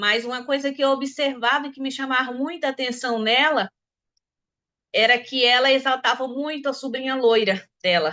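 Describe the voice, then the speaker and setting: A woman in a raised, projected voice with a bright, sharp tone and high pitch talks at a moderate pace with ordinary pitch variation. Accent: rural Brazilian. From Brazil, countryside interior. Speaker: discussion participant. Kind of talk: personal testimony in group discussion. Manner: halting, many repetitions.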